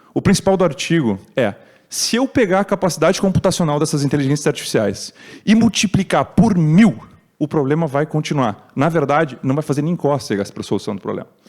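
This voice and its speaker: A man speaks at a fairly quick pace in a fairly high pitch. His voice shows vocal fry and very wide pitch swings. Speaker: tech speaker at conference. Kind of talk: talk. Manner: fast.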